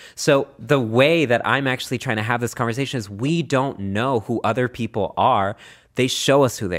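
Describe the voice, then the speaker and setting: Speaking at a moderate pace in a medium pitch, the man has a passionate tone and ordinary pitch variation. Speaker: writer and activist. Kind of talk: interview conversation, thoughtful and articulate. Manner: articulate, passionate.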